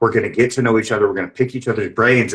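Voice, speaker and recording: With a North Carolina accent, a man speaks at medium pitch in an animated tone with lively intonation. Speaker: podcast host. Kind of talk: casual chat.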